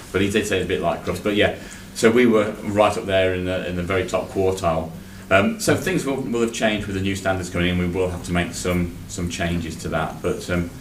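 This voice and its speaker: Audible room echo surrounds a man whose very deep, low voice moves at a fairly quick pace with fairly even intonation. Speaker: internal auditor. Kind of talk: committee meeting report. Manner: loud.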